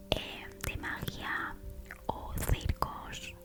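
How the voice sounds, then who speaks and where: Whispering over noticeable background noise. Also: woman. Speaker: ASMR creator. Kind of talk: ASMR personal talk. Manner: whispered.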